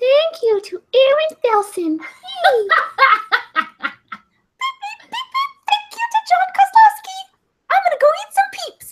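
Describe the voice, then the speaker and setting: In a put-on character voice, the speaker squeaks at an extremely high pitch, moving at a fairly slow pace with long, frequent pauses. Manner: cute, chirpy, playful.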